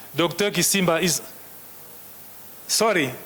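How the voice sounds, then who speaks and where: A man with a French accent talks at a very slow pace with ordinary pitch variation. Noticeable background noise is present. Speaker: session chair. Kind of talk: conference session chairing. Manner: halting.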